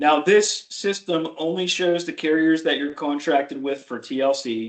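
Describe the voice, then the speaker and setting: In an ordinary speaking voice, a man talks at a fairly slow pace with a fairly high pitch and ordinary pitch variation against a quiet background. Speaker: Medicare insurance agent trainer. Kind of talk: training tutorial on a video call.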